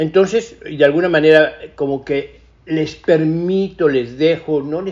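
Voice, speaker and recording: This is a man speaking. His pitch is fairly high. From Mexico. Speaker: cinematographer. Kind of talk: interview.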